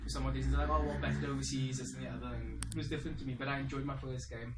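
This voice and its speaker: A South African accent, with audible echo from the room. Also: man. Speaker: semi-professional cricketer. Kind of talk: personal reflection monologue. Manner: casual, conversational.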